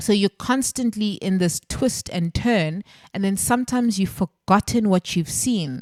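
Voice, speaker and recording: A woman's ordinary speaking voice at a medium pitch and fairly slow pace, with ordinary pitch variation, dry and close with no echo, on a very clean recording with a silent background. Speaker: spiritual healing podcast host. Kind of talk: solo podcast monologue on healing.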